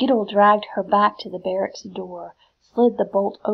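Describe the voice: Plain reading aloud, quiet all around it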